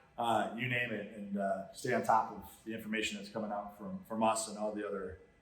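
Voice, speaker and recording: Amid noticeable background noise and audible room echo, a man with an American accent talks at a fairly quick pace in a fairly low voice, his intonation fairly even and his loudness swinging widely. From Chicago, south side. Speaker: podcast host. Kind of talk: casual interview chat. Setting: standing in a training center.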